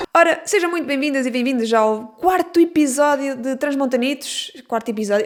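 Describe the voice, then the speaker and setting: A woman with a high-pitched voice talks at a very fast pace. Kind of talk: casual podcast conversation.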